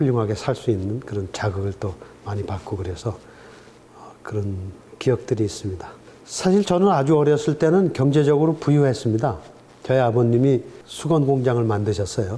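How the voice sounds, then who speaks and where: A man speaks at a moderate pace and a medium pitch, with lively intonation. He leaves long, frequent pauses. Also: big swings in loudness. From Korea, Gangwon (Chuncheon). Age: 60s. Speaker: professor emeritus. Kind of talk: interview. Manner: hesitant with many fillers.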